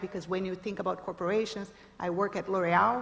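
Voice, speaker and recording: Speaking at a moderate pace, a woman with a Brazilian accent keeps a medium pitch and a monotone, flat intonation. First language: Portuguese. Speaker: startup founder, panelist. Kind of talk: panel discussion. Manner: hesitant, many fillers.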